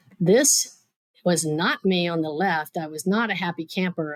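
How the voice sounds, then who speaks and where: A woman talks at a fairly low pitch. Her intonation stays fairly even. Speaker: physician and executive giving a talk. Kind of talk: prepared keynote talk; casual interview chat. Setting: live show with audience. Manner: well-paced with pauses.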